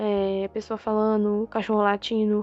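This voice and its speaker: Here is a woman speaking. Her pitch sits fairly high. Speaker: artist vlogger. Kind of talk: casual monologue vlog. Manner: anxious.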